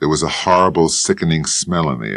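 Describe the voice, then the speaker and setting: This man has a very deep, low pitch and a fairly quick pace, and his intonation stays fairly even. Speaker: audiobook narrator. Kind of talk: hard-boiled detective novel narration.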